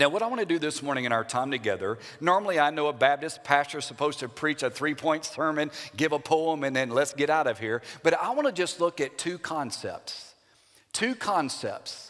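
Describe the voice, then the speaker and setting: Over music in the background, a man talks at a fairly quick pace with lively intonation. His voice is fairly high-pitched, with an American accent. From Louisiana. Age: 50s. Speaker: Baptist pastor. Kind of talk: sermon.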